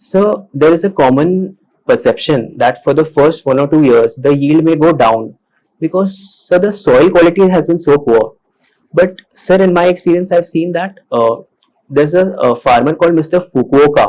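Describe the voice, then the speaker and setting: The speaker has an Indian accent and keeps a very even loudness throughout. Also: man, fairly high pitch for a man, ordinary pitch variation, moderate pace. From Maharashtra, India. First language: Hindi. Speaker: civil service exam candidate. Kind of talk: mock job interview. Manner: formal.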